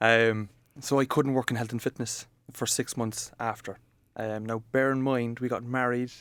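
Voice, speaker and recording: Speaking at a moderate pace, a man with an Irish accent keeps a monotone, flat intonation. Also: medium pitch for a man. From Ireland, Cork area. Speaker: coworking space manager. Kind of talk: podcast interview. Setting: coworking office.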